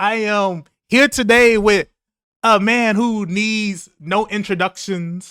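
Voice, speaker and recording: Very slowly, a man speaks in a raised, projected voice that is high in pitch, with a bright, sharp tone. The recording is very clean, with a silent background. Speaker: gaming podcast host. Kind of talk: casual chat. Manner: energetic, enthusiastic.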